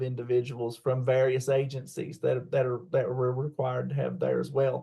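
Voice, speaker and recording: A man in a West Virginia accent speaks at a medium pitch in a monotone, flat intonation, sounding somewhat breathy. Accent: southern West Virginia. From southern West Virginia, McDowell County. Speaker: college teacher and parent advocate. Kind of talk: interview. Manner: halting, many fillers.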